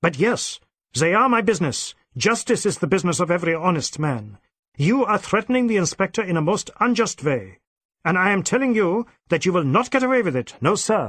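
A man's put-on character voice, high-pitched and fairly bright, slightly husky, with big pitch swings and a fairly quick pace. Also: very clean recording, silent background.

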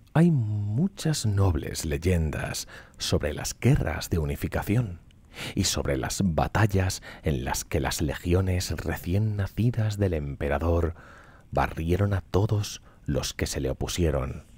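A soft-spoken, somewhat breathy voice moves at a very slow pace in a calm, dramatic tone with lively intonation. The sound is dry with no echo. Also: man, very deep, low pitch for a man. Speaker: streamer reading lore. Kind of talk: storytelling narration (ASMR-style reading of game lore). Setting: live Twitch stream. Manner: slow, calm, soft-spoken, bedtime-story pace with dramatic weight. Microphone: studio mic.

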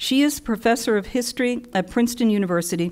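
Against a quiet background, a woman talks in an unremarkable speaking voice with ordinary pitch variation. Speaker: panel moderator. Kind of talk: introduction of panelists. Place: hall.

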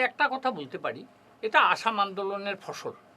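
Raised and projected, a man's voice has a bright, sharp tone and lively intonation. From Barak Valley, Assam, India. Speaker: student movement founder and lawyer. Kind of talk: studio interview. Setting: studio.

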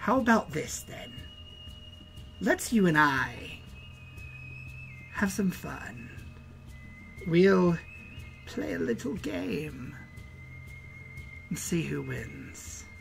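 A put-on character voice speaks at a very slow pace, with long, frequent pauses. Background noise is clearly present. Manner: sugary, coaxing.

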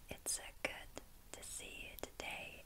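Someone is whispering at a very slow pace. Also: woman. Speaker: ASMR creator. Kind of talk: ASMR whispered talk to camera. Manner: soft-spoken, whispered. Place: home room.

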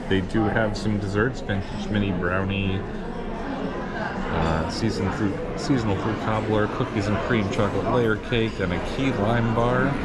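A man speaks at a fairly slow pace with ordinary pitch variation. Crowd noise can be heard behind him. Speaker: food vlogger. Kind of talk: casual vlog chat. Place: cafe. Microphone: phone near.

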